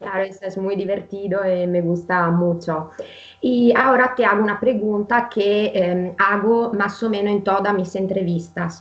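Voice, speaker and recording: With an Italian accent, a woman speaks at a medium pitch and a fairly slow pace, her intonation fairly even, over noticeable background noise. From Italy. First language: Italian (speaking Spanish). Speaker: interviewer, channel host. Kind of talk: interview.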